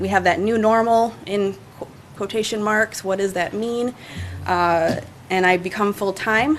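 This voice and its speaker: With an ordinary speaking voice, a woman talks at medium pitch and a fairly slow pace, her intonation fairly even. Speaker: city parks and recreation staff member. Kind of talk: presentation to city council. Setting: city council meeting.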